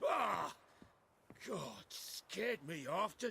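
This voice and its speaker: The speaker uses a raspy, put-on character voice. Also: man, high pitch for a man. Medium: video game. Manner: stammering, nervous.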